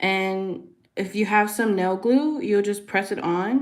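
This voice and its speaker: Soft-spoken and medium in pitch, a woman talks at a very slow pace with ordinary pitch variation in a room with audible echo. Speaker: nail artist. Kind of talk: livestream tutorial chat. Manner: casual with fillers.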